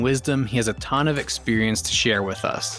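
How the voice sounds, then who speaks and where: With music in the background, a man at medium pitch talks at a moderate pace with ordinary pitch variation. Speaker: podcast host. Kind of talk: podcast intro.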